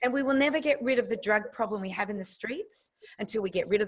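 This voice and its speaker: Very fast and animated, a woman with an Australian accent speaks in a fairly high, somewhat breathy voice with lively intonation. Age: 60s. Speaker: nutritionist. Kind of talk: interview.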